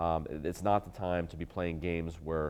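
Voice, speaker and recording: Over a quiet background, a man talks at a very deep, low pitch. His pitch varies in an ordinary way. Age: 40s. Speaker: radio talk show host, attorney. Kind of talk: talk radio monologue. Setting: studio. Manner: halting, many repetitions and fillers.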